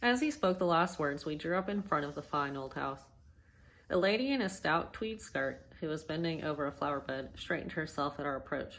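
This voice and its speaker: Her very deep, low voice moves at a fairly quick pace, and this woman's intonation is lively. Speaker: amateur reader practicing on camera. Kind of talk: reading aloud.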